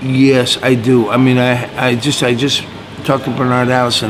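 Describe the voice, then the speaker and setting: Through noticeable background noise and audible room echo, a man talks at a medium pitch and a moderate pace. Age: 60s. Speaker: blues guitarist. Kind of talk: interview. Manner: casual, halting.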